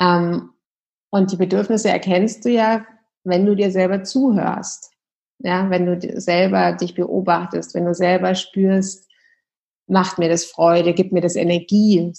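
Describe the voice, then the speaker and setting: A woman speaks at a fairly slow pace with fairly even intonation. Her tone is dark and mellow. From Munich, Bavaria, Germany. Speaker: yoga and meditation teacher, former lawyer. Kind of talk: casual interview.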